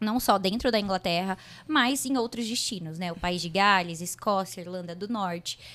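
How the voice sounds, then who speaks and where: Using a normal speaking voice, a woman speaks at medium pitch and a moderate pace with ordinary pitch variation. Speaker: podcast host. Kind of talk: podcast interview.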